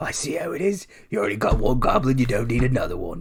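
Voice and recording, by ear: A man in a put-on character voice, medium-pitched and very fast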